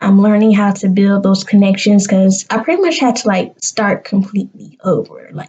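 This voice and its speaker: A woman with a Southern US accent speaks at a medium pitch and a moderate pace. Her voice is somewhat breathy, with hardly any pauses. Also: ordinary pitch variation. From US South, South Carolina. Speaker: vlogger, graduate student. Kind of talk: casual vlog to camera. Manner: animated.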